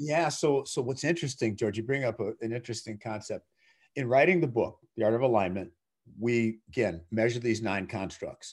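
A man with an ordinary speaking voice, medium pitch, ordinary pitch variation and a moderate pace over a quiet background. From US Midwest, Minnesota (Twin Cities). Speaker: CEO and author. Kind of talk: interview.

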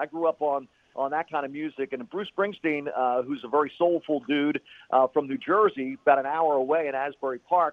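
An ordinary speaking voice with ordinary pitch variation at a moderate pace. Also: man. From Philadelphia. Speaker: radio play-by-play announcer. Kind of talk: casual chat.

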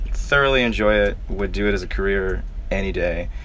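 Audible room echo carries the voice of a man with an American accent. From Florida. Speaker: band guitarist. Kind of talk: casual chat. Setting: parked tour van.

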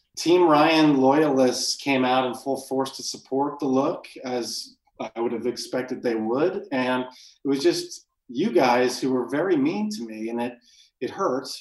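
A man with a plain, everyday voice speaks at medium pitch and a fairly slow pace with ordinary pitch variation. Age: 30s. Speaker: podcast co-host. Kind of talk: casual chat.

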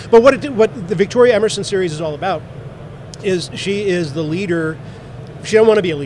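A man's high-pitched, very fast speech with lively intonation, big swings in loudness and long, frequent pauses, over noticeable background noise. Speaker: author and radio show host. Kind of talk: interview.

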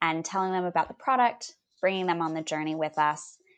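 A woman with a Californian accent speaks at a fairly low pitch against a quiet background. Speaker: business founder. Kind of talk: interview.

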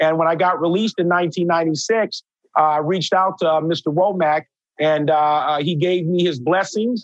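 The speech moves at a fairly slow pace with fairly even intonation. Loudness stays very even throughout. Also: man, high pitch for a man. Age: 50s. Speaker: chef and public speaker. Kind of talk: interview. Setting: video call. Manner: frequent fillers and hesitations.

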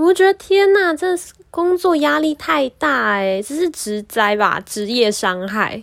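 A woman with a Taiwanese accent and a high pitch, very wide pitch swings, a very slow pace, and a very clean recording with a silent background. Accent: Taiwanese Mandarin. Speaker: podcast host. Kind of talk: casual monologue.

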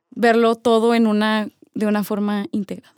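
A woman speaks at a fairly slow pace. The sound is dry and close, with no echo, in a very clean recording with a silent background. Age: 20s. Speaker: podcast co-host, business student. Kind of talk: casual chat. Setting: in-person recording.

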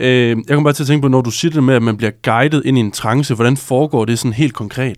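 Very fast speech from a man at medium pitch, fairly even intonation, very clean recording with a silent background. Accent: strong Jutland. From Jutland, Struer. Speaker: journalist and co-host. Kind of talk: casual interview. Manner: hesitant, many fillers.

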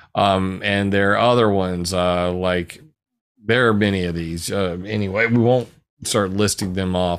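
This man has a very deep, low voice and an American accent. He keeps a moderate pace and fairly even intonation. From US South, South Carolina. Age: 40s. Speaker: researcher and blogger. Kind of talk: casual interview.

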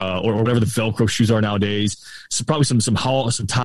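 At a very fast pace, a man with an American accent speaks at medium pitch with fairly even intonation. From Florida, Tampa Bay area. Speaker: podcast guest. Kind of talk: casual chat. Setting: outdoors on remote call.

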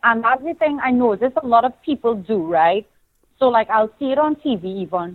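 With a Trinidadian accent, a woman speaks in a passionate, animated tone at a fairly high pitch, with lively intonation and a moderate pace. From Trinidad and Tobago. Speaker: pageant titleholder, TV and radio host, fashion designer. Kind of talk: casual interview chat. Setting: phone call.

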